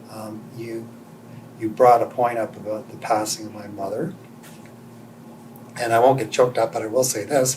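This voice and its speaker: A man of medium pitch speaks at a moderate pace with fairly even intonation, big swings in loudness and long, frequent pauses. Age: 60s. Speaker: interviewee sharing life story. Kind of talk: interview testimony.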